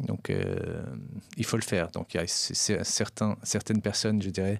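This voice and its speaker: A man's monotone, flat delivery on a very clean recording with a silent background. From Paris, France (Persian family, arrived age 8). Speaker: entrepreneur. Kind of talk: interview. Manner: halting, many repetitions.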